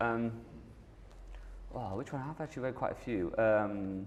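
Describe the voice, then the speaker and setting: Speaking with a Manchester accent, a man goes at a fairly slow pace. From northern England, Manchester. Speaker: app company founder and CEO. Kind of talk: Q&A session.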